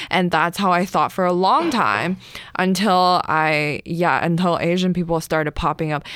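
A woman speaks at fairly low pitch and a moderate pace with ordinary pitch variation and very even loudness. The recording is very clean with a silent background. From Asia, immigrated to Canada. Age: 20s. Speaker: stand-up comedian. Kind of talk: casual interview chat. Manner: low energy, mousy.

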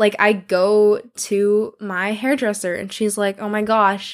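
A speaker with a Canadian accent is heard in a very clean recording with a silent background. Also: woman. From Canada. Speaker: podcast host. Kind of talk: solo podcast monologue. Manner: casual, frequent laughter and fillers.

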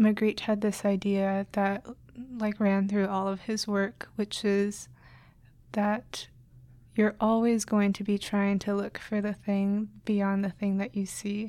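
A dark, mellow tone with an American accent, a very slow pace and monotone, flat intonation, in a very clean recording with a silent background. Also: woman, medium pitch for a woman. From China, raised in the US from a young age. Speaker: neuroscience grad student and artist. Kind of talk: casual interview.

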